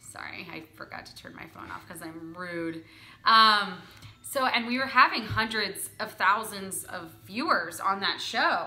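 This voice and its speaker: A woman with an American accent has an ordinary speaking voice at a medium pitch and ordinary pitch variation. She speaks at a fairly slow pace with big swings in loudness. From Philadelphia. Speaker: host, actor and sketch comedian. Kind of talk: interview answer.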